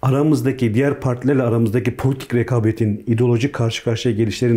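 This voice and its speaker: Very fast and very even in loudness, a man's medium-pitched voice comes out dark, mellow and somewhat breathy, with fairly even intonation. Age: 40s. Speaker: politician, peace delegation member. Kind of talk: interview. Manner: hesitant, many fillers.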